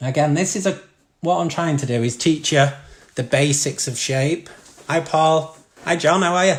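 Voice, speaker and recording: Ordinary pitch movement in a man's somewhat breathy voice. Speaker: art teacher. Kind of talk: live-streamed drawing tutorial. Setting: live stream from home living room. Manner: fast.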